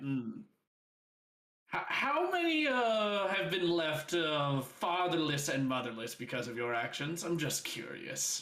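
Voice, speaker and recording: At a fairly slow pace, a man does a gravelly, put-on character voice at a fairly high pitch. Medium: actual play. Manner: mocking, sinister.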